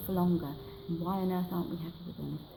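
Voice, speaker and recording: Against noticeable background noise, a soft-spoken woman with a passionate tone talks at a fairly low pitch with fairly even intonation. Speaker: library campaigner. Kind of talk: interview answer. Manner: soft-spoken, passionate.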